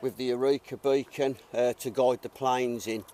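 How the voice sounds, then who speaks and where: In a Birmingham accent, a man with a medium pitch and a dark, mellow tone speaks at a fairly slow pace, the sound dry and close with no echo. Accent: Brummie. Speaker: WWII reenactor. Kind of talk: casual explanation to visitors.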